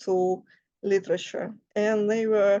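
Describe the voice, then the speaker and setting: Medium pitch, a female speaker, and a Russian accent. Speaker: writer and life coach. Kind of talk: casual talk to camera. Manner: halting, many fillers.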